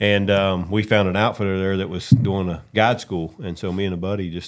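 In an American accent, the speaker moves at a fairly quick pace with a monotone, flat intonation. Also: man. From West Virginia. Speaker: hunting guide and outdoor TV host. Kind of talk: casual chat.

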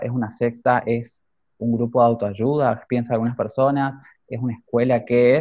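The man's pitch is medium and his pace moderate. His intonation stays monotone and flat. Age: 20s. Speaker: fashion designer and youth academy director. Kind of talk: interview.

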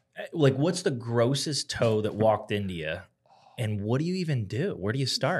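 Somewhat breathy and at a medium pitch, a man speaks at a moderate pace with very wide pitch swings. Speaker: podcast co-host, doctor. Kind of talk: casual chat.

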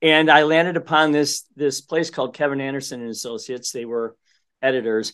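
A man talks at a fairly quick pace with ordinary pitch variation. His pitch is medium, and the background is quiet. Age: 50s. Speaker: construction company CEO and author. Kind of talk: interview. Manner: halting with frequent repetitions.

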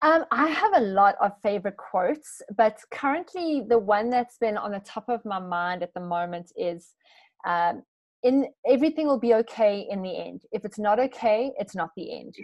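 With a normal speaking voice, a woman talks at a moderate pace in a fairly high pitch, her intonation lively and her loudness swinging widely. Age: 30s. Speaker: wellness coach. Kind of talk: interview.

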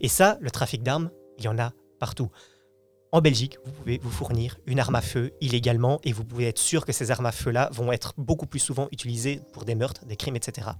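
A somewhat breathy voice at a fairly quick pace with ordinary pitch variation. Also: man, medium pitch for a man. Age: 20s. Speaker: youth radio participant. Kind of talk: casual debate.

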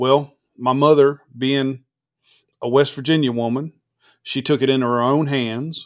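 The recording is very clean with a silent background as a man talks at a medium pitch and a fairly slow pace. His intonation stays monotone and flat, with long, frequent pauses. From Florida, Eustis. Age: 40s. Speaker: industrial refrigeration contractor. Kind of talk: casual chat.

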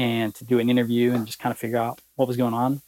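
At a medium pitch, a man with a Southern US accent speaks in a dry, close sound with no echo. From Alabama. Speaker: promotional products sales executive. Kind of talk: casual interview.

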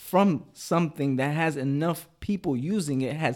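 With an unremarkable speaking voice, a man speaks at a fairly high pitch and moderate pace with ordinary pitch variation, on a very clean recording with a silent background. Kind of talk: heated debate. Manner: insistent, talking over the other, stalling, laughing.

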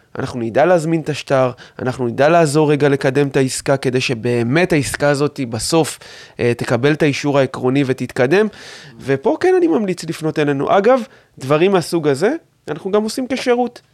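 A man speaks at a moderate pace with a fairly high pitch and lively intonation. His is an unremarkable speaking voice. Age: 30s. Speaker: mortgage adviser and company owner. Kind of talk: interview.

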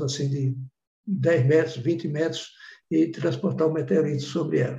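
The man's tone is dark and mellow. He talks at a moderate pace, his pitch varying in an ordinary way. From Bahia, Brazil (sertão). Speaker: professor, meteorite researcher. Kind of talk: interview, storytelling.

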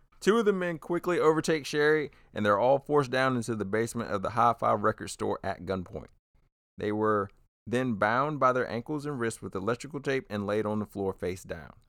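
A man's plain, everyday voice, medium in pitch and fairly quick, with lively intonation and a dry, close sound with no echo. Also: very clean recording, silent background. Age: 30s. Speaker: true crime comedy podcast host. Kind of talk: casual true crime storytelling.

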